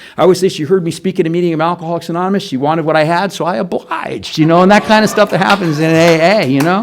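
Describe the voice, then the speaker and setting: Noticeable background noise sits behind a high-pitched man. He talks at a very fast pace with fairly even intonation. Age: 60s. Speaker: recovering alcoholic speaker. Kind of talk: testimony. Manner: conversational, repetitive fillers.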